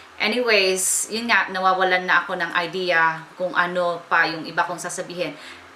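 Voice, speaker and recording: A woman talks at a moderate pace with fairly even intonation and a fairly low pitch. Noticeable background noise runs underneath. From Baler, Aurora, Philippines. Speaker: beauty blogger. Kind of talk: casual talk to camera.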